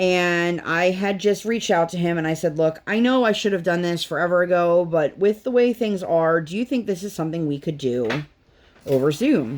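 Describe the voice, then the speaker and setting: A woman talks in a plain, everyday voice at a moderate pace. Her pitch is fairly low and her intonation lively. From US. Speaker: crafting YouTuber. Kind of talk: casual chat.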